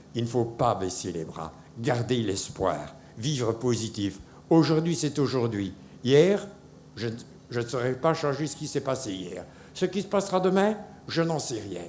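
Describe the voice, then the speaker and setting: Speaking at a fairly slow pace with long, frequent pauses, a man's voice swings very widely in pitch. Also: medium pitch for a man. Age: 70s. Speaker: cancer survivor. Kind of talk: testimony. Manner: halting.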